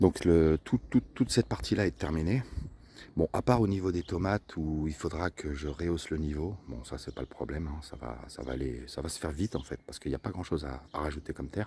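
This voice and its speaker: A soft-spoken man with a very deep, low voice and vocal fry, with lively intonation at a fairly quick pace. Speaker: vlogger gardener. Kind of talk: casual vlog walkthrough. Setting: outdoors in garden. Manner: hesitant, many fillers.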